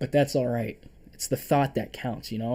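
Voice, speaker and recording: A man's dark, mellow tone in a monotone, flat delivery. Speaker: day trader streaming his trades. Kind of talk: live stream trade review. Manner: halting, stuttering; casual, filler-heavy.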